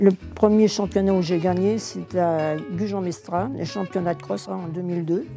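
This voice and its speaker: Fairly low-pitched woman at a moderate pace, with ordinary pitch variation and big swings in loudness, over music in the background. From Paris. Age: 80s+. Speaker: senior sprinter. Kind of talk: interview.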